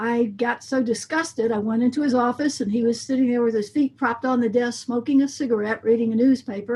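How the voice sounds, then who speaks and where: Over noticeable background noise, a woman with an American accent talks at a very fast pace in a high pitch with ordinary pitch variation. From US South, coastal Mississippi. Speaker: band director and music educator. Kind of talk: interview.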